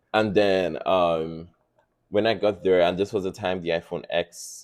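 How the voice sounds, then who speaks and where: A man with a slight non-native accent speaks at a very deep, low pitch and a moderate pace, with ordinary pitch variation. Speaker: podcast guest. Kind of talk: casual chat. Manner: animated storytelling.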